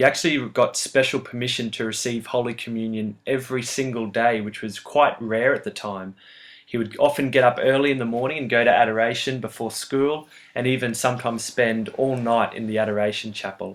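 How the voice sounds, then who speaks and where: At a fairly quick pace, a man with an Australian accent speaks in a medium pitch with fairly even intonation, on a very clean recording with a silent background. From Australia (Brisbane). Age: 20s. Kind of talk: competition video talk about a saint.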